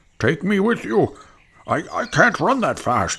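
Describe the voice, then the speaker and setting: A man speaks in a put-on character voice, pitched high. His pace is fairly slow. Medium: read story. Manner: earnest, gentle.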